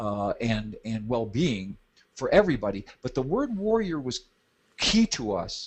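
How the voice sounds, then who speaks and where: A man speaks with a medium-pitched, somewhat breathy voice. His pitch swings very widely. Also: fairly slow pace. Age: 70s. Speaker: business trainer and author. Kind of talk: interview. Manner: halting, with many false starts.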